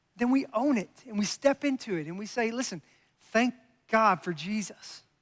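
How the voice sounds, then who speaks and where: A high-pitched man's voice with a slight Kentucky accent at a moderate pace, ordinary pitch variation, and a dry, close sound with no echo. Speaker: pastor. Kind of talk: sermon.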